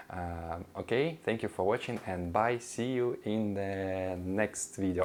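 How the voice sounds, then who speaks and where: A man speaks in a fairly low voice with a Russian accent. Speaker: language teacher vlogger. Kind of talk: casual intro monologue. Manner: halting, many fillers.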